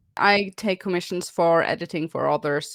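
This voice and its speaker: A woman speaks with a non-native accent. The sound is dry and close, without echo. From Norway. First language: Norwegian. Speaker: YouTuber. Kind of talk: casual podcast chat.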